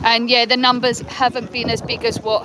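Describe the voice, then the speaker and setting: The speaker has an English accent and a moderate pace. Noticeable background noise runs underneath. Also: woman. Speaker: livestreamer at a protest march. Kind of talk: live street vlog. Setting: outdoors at a march. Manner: casual, rambling with fillers.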